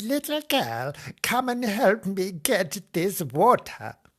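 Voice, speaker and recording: Cackling in a put-on character voice, a man goes at a very slow pace with a high pitch. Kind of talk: comic old woman voice. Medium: read story. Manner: muttering, cackling.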